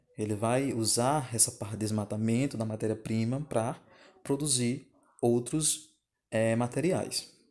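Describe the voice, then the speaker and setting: A man with an ordinary speaking voice, medium in pitch, at a fairly slow pace with fairly even intonation. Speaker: geography teacher. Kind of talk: recorded video lesson over slides. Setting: screen recording at home.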